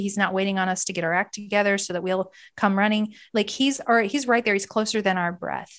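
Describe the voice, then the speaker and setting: Against a quiet background, a woman uses an ordinary speaking voice at a medium pitch with ordinary pitch variation. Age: 30s. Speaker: author and mental health coach. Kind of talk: testimony.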